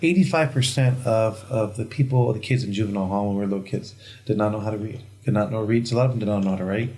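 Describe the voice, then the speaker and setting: Very fast and somewhat breathy, a man with a fairly low pitch, a dark, mellow tone and ordinary pitch variation talks amid audible room echo. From Pasadena, California, US. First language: Spanish. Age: 40s. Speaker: entrepreneur sharing life story. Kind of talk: podcast interview.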